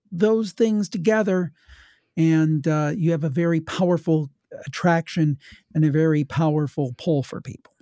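Using a Midwestern US accent, a man with a fairly high pitch and a dark, mellow tone talks at a moderate pace with ordinary pitch variation, recorded dry and close with no echo. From Ohio. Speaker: paranormal podcaster. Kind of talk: casual chat.

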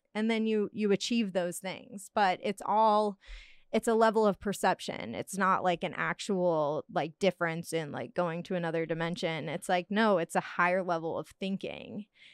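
In an ordinary speaking voice, a woman at medium pitch talks at a moderate pace with ordinary pitch variation, in a dry, close sound with no echo and a quiet background. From Hawaii, North Carolina and Cancun. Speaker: podcast guest. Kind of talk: casual chat.

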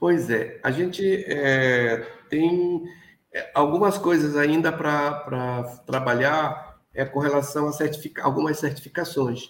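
Audible room echo carries a man's voice as he speaks at a very slow pace. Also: fairly high pitch for a man, ordinary pitch variation, very even loudness. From Amapá, northern Brazil (Oiapoque, riverside community). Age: 60s. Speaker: cocoa farmer and chocolate producer. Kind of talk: interview. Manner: halting, many repetitions and fillers.

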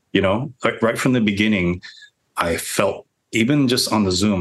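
Here a man speaks at a fairly slow pace. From New York City (Washington Heights, Hollis Queens). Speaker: film director. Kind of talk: interview.

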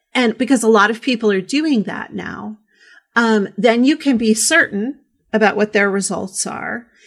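Her pitch is medium, with ordinary pitch variation. The woman has an ordinary speaking voice. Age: 40s. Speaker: podcast host, sex educator. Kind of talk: casual interview chat.

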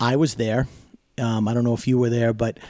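With an American accent, a man with a dark, mellow tone is heard in a very clean recording with a silent background. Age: 40s. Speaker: wrestling ring announcer. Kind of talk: casual chat.

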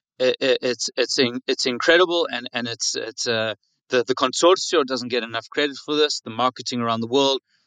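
In a South African accent, a man talks at a fairly quick pace with fairly even intonation and a bright, sharp tone, the sound dry and close with no echo against a quiet background. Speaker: winery staff. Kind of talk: casual chat. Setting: online audio chat room.

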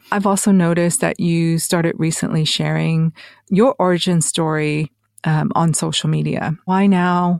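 A woman speaks in an unremarkable speaking voice at a fairly low pitch and moderate pace. Her intonation is fairly even, and the sound is dry and close with no echo. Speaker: podcast host. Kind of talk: interview, scripted intro and casual chat.

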